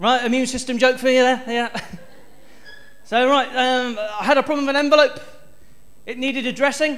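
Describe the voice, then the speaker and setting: Amid audible room echo, a man with a West Country accent speaks at an extremely high pitch and a fairly quick pace, monotone and flat, with long, frequent pauses. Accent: West Country accent, noticeable to audience. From South West England (Stroud, near Bristol). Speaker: stand-up comedian. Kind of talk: stand-up. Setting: stage with audience.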